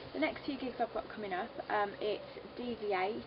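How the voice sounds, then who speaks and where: A woman with a Birmingham accent at a medium pitch and moderate pace, over noticeable background noise. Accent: Birmingham (Brummie). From English Midlands, Solihull near Birmingham. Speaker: singer. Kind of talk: interview. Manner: hesitant, many fillers.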